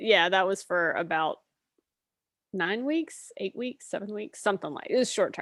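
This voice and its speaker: In an American accent, an ordinary speaking voice carries lively intonation in a dry, close recording with no echo. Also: woman, medium pitch for a woman, moderate pace. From US South, Mississippi Delta. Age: 50s. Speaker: artist and professor. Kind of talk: interview.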